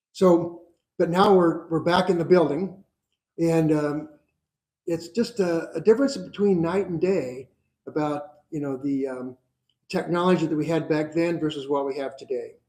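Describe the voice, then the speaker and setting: A man's dark, mellow, high-pitched voice at a moderate pace, broken by long, frequent pauses. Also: ordinary pitch variation. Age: 70s. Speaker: crisis center volunteer. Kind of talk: speech at a community event. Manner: hesitant, many fillers.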